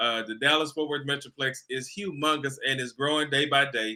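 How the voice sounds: Speaking with an American accent at a fairly quick pace, a man uses a medium pitch with ordinary variation and a bright, sharp tone.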